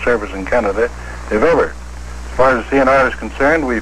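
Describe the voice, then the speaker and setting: A man's moderately paced speech is heard with noticeable background noise behind it. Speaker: railway company president giving an interview answer. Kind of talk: interview answer.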